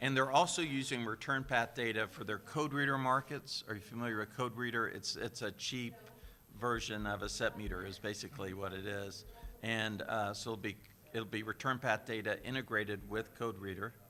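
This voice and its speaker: A man's bright, sharp tone at a fairly quick pace, with ordinary pitch variation. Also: medium pitch for a man. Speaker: media research executive. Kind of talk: panel discussion. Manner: animated.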